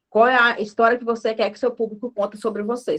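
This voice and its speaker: A woman rattles off her words at a very fast pace, her pitch fairly high. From northern Minas Gerais, Brazil. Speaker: marketing speaker. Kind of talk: talk at an online lecture event.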